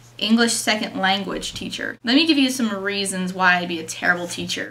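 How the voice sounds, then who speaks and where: A woman's intonation is lively, and noticeable noise can be heard behind her. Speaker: vlogger. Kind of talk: casual vlog.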